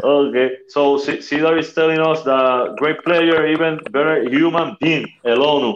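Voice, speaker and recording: A man with a Spanish accent speaks at a fairly slow pace and a fairly high pitch, with fairly even intonation, very even loudness and hardly any pauses over noticeable background noise. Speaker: podcast co-host and coach. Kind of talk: casual interview. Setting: remote from family home.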